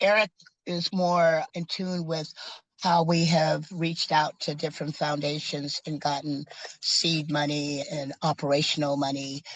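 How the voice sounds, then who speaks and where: Against a quiet background, a woman speaks fairly slowly at a very deep, low pitch, her intonation monotone and flat. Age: 70s. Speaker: community food program founder. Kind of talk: interview.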